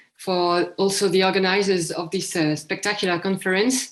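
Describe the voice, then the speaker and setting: This woman speaks with a French accent. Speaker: historian presenting a conference paper. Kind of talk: academic paper presentation. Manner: hesitant, many fillers.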